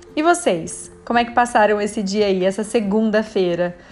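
A woman with a fairly high voice speaks at a moderate pace in an animated, cheerful tone, her pitch varying in an ordinary way. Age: 30s. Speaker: podcast host, nutritionist. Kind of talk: casual solo podcast monologue.

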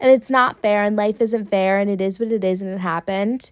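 In a very clean recording with a silent background, a woman uses a normal speaking voice at medium pitch and a moderate pace. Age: 20s. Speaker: podcast host. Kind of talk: solo monologue. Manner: casual, filler-heavy.

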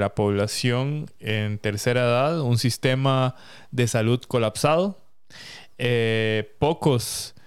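A man speaks at medium pitch with ordinary pitch variation, in a normal speaking voice. The recording is very clean, with a silent background. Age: 30s. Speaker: podcast co-host. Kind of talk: casual chat.

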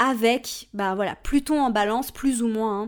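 Lively in intonation, a woman talks at a fairly slow pace. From Switzerland. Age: 30s. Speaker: astrology podcast host. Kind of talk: solo podcast talk. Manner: casual, chatty with fillers.

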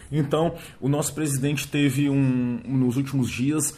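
Somewhat breathy male speech, fairly high in pitch, fairly slow, with fairly even intonation. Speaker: podcast host. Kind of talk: solo monologue podcast. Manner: hesitant, many filler words.

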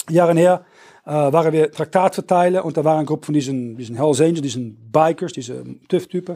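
With a Dutch accent, a man talks in a fairly high pitch, his tone dark and mellow and his pitch variation ordinary. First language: Dutch (speaking German). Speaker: preacher. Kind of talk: sermon. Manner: halting.

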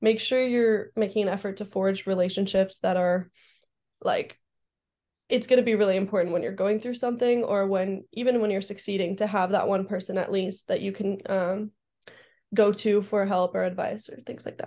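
Over a quiet background, a woman with an American accent speaks at a fairly quick pace in a medium pitch, her dark, mellow tone carrying monotone, flat intonation. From Southern California. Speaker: college athlete. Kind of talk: interview. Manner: hesitant, many fillers.

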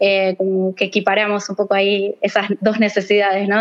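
An Argentine accent over noticeable background noise. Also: woman. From Argentina. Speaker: bioinformatics researcher. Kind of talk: casual chat.

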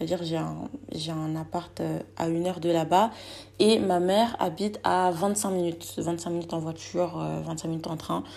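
A woman's fairly low voice, dark and mellow, at a moderate pace. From Guinean heritage. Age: 20s. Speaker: podcast host, student. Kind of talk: solo casual monologue. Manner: hesitant, many fillers.

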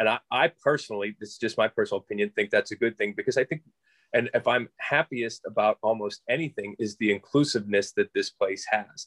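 A man talks at a fairly quick pace with an American accent. The sound is dry and close, with no echo. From Pittsburgh area, western Pennsylvania. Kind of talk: interview. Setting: video call.

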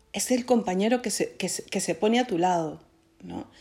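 A woman's dark, mellow voice with ordinary pitch variation, on a very clean recording with a silent background. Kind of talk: spiritual reflection. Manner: stuttering; halting.

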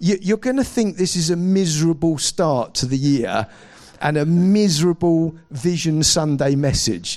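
A man with a southern English accent, high in pitch, at a moderate pace. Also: ordinary pitch variation, very even loudness. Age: 40s. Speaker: pastor. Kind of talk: sermon.

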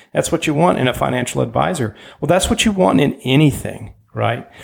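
A man's fairly high voice with vocal fry, at a moderate pace. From Germany, moved to US at age ten. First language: German. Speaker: podcast host. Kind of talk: interview.

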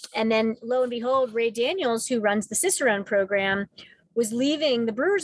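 A woman with a plain, everyday voice talks at a fairly high pitch and moderate pace with ordinary pitch variation, the sound dry and close with no echo. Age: 50s. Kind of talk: interview. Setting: in a car.

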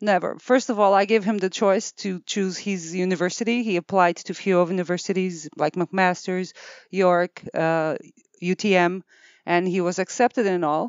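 Medium in pitch, a woman talks at a moderate pace with fairly even intonation. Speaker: clinic owner, osteopathic practitioner. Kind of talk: interview. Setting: office studio with headset.

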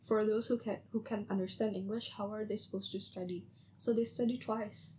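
A woman talks at a fairly quick pace in an Indonesian accent. Her fairly high voice carries vocal fry and a monotone, flat intonation. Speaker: podcast host, university student. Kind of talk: casual chat.

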